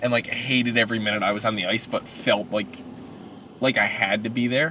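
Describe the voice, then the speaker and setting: Noticeable background noise runs under a man speaking at a fairly quick pace and medium pitch, with fairly even intonation. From Newfoundland, Burin Peninsula. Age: 30s. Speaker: powerlifter. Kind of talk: casual chat. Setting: in a car.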